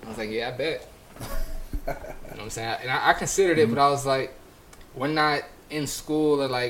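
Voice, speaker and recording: A man with a fairly high pitch and ordinary pitch variation talks very fast. He leaves long, frequent pauses amid noticeable background noise. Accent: American. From California. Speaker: podcast co-host. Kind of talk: casual chat.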